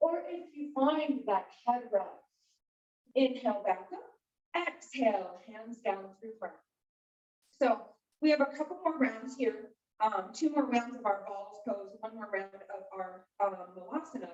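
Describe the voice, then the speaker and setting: An unremarkable speaking voice, a woman's fairly high pitch with lively intonation, big swings in loudness and a fairly slow pace. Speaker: yoga instructor. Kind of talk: guided yoga class instruction.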